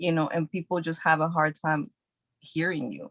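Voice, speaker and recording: A woman talks with a fairly low pitch and fairly even intonation. The sound is dry and close, with no echo. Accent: American. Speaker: actress. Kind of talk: casual interview chat. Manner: soft-spoken.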